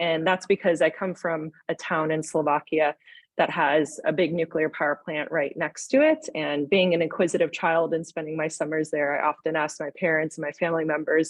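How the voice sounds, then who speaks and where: A woman with an American accent speaks in a very deep, low voice, flat and monotone, with hardly any pauses. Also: moderate pace. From United States. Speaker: nuclear engineer and company founder. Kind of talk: panel webinar discussion.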